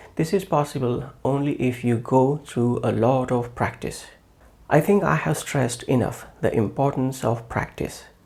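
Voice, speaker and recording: Somewhat breathy, a man speaks in a non-native accent at a medium pitch, with ordinary pitch variation and very even loudness. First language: not English. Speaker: English teacher. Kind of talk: tutorial. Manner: slow; formal.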